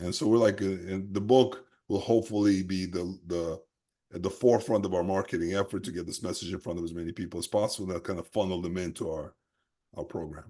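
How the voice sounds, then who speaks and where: Over a quiet background, a man with an American accent speaks very fast in a very deep, low pitch with a dark, mellow tone. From New York City, after early childhood in the Soviet Union. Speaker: health practitioner and program founder. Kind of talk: interview conversation.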